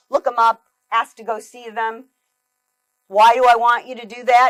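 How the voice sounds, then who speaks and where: A woman with a fairly high voice talks at a fairly quick pace. The sound is dry and close with no echo, and music plays behind her. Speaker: keynote speaker. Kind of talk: keynote talk.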